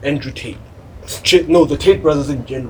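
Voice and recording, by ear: At a fairly quick pace, a man talks with a slightly mellow tone.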